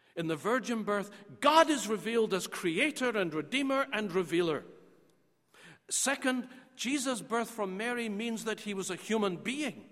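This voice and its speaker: A man speaks with a Scottish accent and a high pitch. His intonation is lively and his pace moderate. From Scotland. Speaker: theology professor. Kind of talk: lecture.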